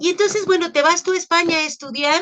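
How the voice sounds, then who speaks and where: A woman with a Mexican accent. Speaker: interviewer and storyteller. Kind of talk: interview.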